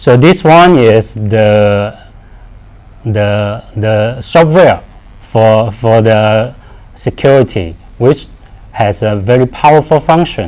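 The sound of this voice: At a slow pace, a man with a fairly low pitch and a slightly mellow tone speaks with lively intonation.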